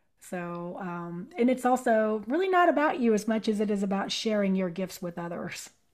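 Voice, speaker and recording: A woman with a plain, everyday voice talks at a moderate pace and medium pitch, with lively intonation and hardly any pauses. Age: 50s. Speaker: sound healing practitioner. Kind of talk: casual chat.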